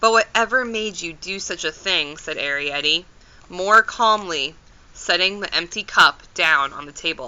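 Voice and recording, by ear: Someone is reading aloud in a natural voice. The text is read straight through.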